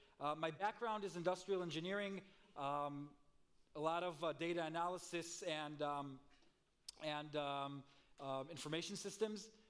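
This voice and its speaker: Audible room echo surrounds a man with a fairly high pitch and ordinary pitch variation. He keeps a moderate pace with long, frequent pauses. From Israel, Tel Aviv. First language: Hebrew. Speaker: marketing executive, conference speaker. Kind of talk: conference presentation. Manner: frequent fillers and hesitations.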